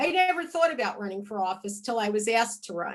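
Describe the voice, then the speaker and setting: A woman speaks with a plain, everyday voice. Her pitch sits fairly high. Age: 60s. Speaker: state legislator. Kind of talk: interview.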